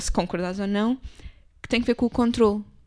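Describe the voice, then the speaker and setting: At a very fast pace with ordinary pitch variation, the voice sits in a very clean recording with a silent background. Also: woman. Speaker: podcast co-host. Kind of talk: casual chat.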